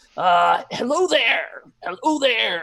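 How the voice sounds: A put-on character voice at a fairly high pitch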